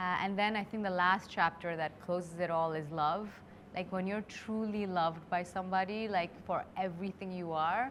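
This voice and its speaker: A woman with an Indian accent speaks at a moderate pace, her medium pitch held in fairly even intonation. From India (Delhi). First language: Hindi. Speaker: creator turned beauty brand founder. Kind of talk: interview conversation.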